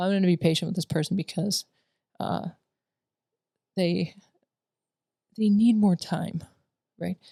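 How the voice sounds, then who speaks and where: Somewhat breathy, dark, mellow voice of a woman at fairly low pitch, fairly slow with long, frequent pauses and fairly even intonation, in a dry, close sound with no echo. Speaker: military veteran and school staff co-host. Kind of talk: casual chat. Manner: halting.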